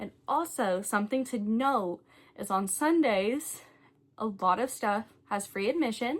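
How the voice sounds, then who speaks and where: Slow-ish and lively in intonation, a woman speaks in a fairly high pitch with a strong Southern US accent. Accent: thick Southern US. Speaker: travel vlogger. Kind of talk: casual review vlog. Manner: casual, chatty with fillers.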